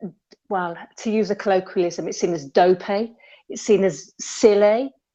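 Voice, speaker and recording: Speaking with a West Midlands accent, a woman uses a medium pitch and a dark, mellow tone, with ordinary pitch variation at a moderate pace. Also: long, frequent pauses, big swings in loudness. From West Midlands, England. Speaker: caller in debate livestream. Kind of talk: casual chat.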